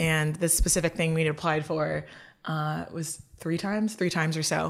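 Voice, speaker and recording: Vocal fry marks this woman's fairly low voice. Her intonation stays fairly even. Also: very clean recording, silent background. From Lagos, Nigeria. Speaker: nonprofit policy researcher. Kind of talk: in-depth interview.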